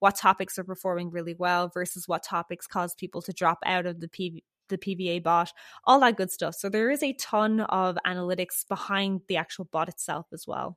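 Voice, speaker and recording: An animated woman with an Irish accent, recorded dry and close with no echo, very clean against a silent background. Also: medium pitch for a woman, moderate pace. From Ireland, Dublin. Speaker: software developer. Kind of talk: casual interview.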